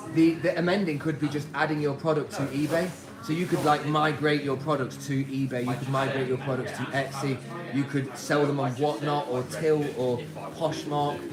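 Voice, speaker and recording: Speaking at a moderate pace with a British accent, a man with a fairly high pitch keeps a monotone, flat intonation. Audible room echo and noticeable background noise surround him. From UK. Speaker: clothing reseller. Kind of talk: live stream chat. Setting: warehouse workplace. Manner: casual.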